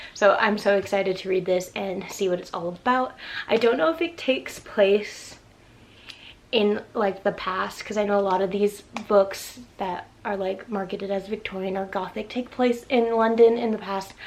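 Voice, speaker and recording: The speech has ordinary pitch variation over noticeable background noise. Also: woman, medium pitch for a woman. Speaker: book vlogger. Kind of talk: casual vlog talk. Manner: fast; animated.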